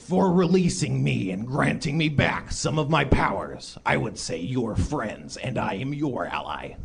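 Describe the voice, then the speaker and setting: A man puts on a character voice at a medium pitch, moving at a moderate pace with hardly any pauses. Background noise is clear in the recording. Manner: grand, benevolent.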